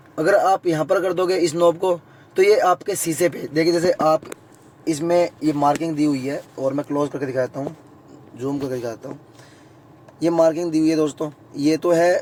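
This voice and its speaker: Fairly high pitch for a man, with ordinary pitch variation, a moderate pace and long, frequent pauses, plus noticeable background noise. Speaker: YouTube vlogger. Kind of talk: tutorial. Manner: casual, conversational.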